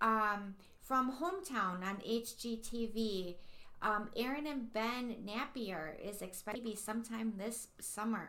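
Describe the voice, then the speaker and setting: Room echo can be heard as a woman speaks very slowly. Her voice is fairly high, with ordinary pitch variation. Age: 40s. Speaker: podcast co-host. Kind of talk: casual chat.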